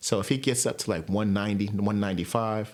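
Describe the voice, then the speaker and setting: On a very clean recording with a silent background, a man talks at a fairly low pitch. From New York. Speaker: sports podcaster. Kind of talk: casual monologue. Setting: home recording with headphones. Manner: fast.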